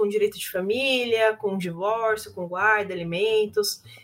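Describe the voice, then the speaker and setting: Fairly high-pitched woman's voice against noticeable background noise. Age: 20s. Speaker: lawyer. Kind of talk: casual interview.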